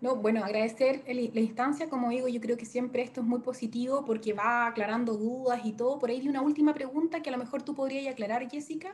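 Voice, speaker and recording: Speaking very fast with hardly any pauses, a woman keeps a high pitch and fairly even intonation. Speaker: industry representative. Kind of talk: webinar closing remarks.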